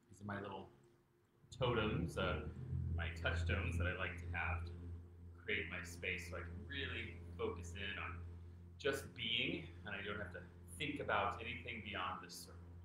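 A man with a very deep, low pitch talks at a moderate pace and fairly even intonation. Noticeable background noise and audible room echo accompany him. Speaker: meditation teacher. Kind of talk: guided meditation. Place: home room. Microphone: camera far.

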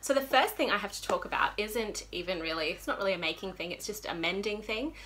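Speaking with an Australian accent, a woman uses lively intonation, a bright, sharp tone and some vocal fry. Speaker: knitting podcaster. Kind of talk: casual chat. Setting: home room, windows shut. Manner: animated. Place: home room. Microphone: phone near.

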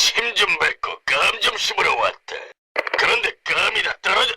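A man's put-on character voice. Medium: fan dub. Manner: gruff, sarcastic.

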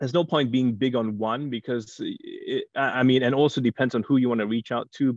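Very fast bursts of speech with long, frequent pauses. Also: man, quiet background, dry sound with no echo. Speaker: TV news anchor. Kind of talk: panel discussion. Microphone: video call.

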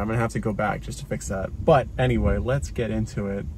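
The man talks at a fairly quick pace. There is light background noise, and the sound is dry with no echo. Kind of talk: casual tutorial vlog. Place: car.

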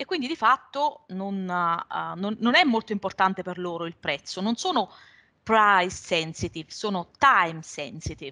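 The voice moves at a moderate pace with lively intonation and a bright, sharp tone. The background is quiet. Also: woman. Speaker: revenue management consultant; webinar presenter. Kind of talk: webinar presentation. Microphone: video call.

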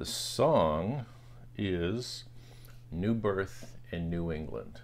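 The man speaks with a very deep, low pitch. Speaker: vinyl collector vlogger. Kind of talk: casual vlog chat. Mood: relaxed, friendly. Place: home room. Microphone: phone near.

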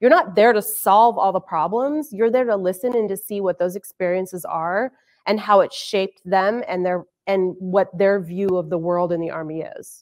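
In an unremarkable speaking voice, a woman talks at a moderate pace and medium pitch with ordinary pitch variation. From Arizona. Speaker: army sergeant major, intelligence professional. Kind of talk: panel discussion. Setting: virtual online event.

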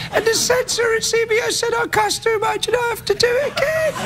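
Over clear background noise, a man puts on a cartoonish character voice at an extremely high pitch. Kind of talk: late-night TV comedy bit. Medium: puppet. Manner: cheeky, mischievous.

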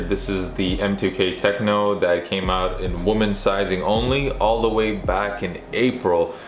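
Music plays in the background as a man speaks in a fairly low pitch, with audible room echo. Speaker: sneaker reviewer. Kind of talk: product review vlog. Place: home room.

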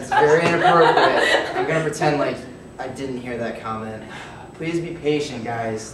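Amid loud background noise and audible room echo, a man speaks at a moderate pace with ordinary pitch variation. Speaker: teacher or instructor. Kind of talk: classroom address to students. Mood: unwell, strained, irritated. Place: classroom. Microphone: camera far.

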